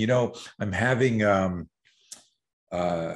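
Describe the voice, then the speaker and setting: This is a man with an ordinary speaking voice. His pitch varies in an ordinary way. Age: 60s. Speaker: self-defense instructor. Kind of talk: casual chat. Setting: garage gym.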